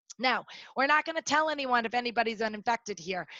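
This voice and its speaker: Loud and fairly quick, a woman speaks at a fairly high pitch with ordinary variation in a bright, sharp tone, recorded dry and close with no echo against a quiet background. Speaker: workplace safety trainer. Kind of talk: webinar presentation. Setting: online webinar. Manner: fast.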